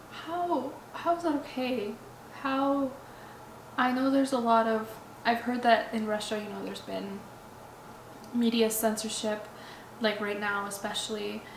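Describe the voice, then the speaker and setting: A woman talks at a fairly slow pace with long, frequent pauses in a fairly high pitch with ordinary pitch variation, with audible room echo and noticeable background noise. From Ukraine, Odessa. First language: Russian. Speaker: vlogger. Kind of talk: personal vlog monologue. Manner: halting, with repetitions and fillers.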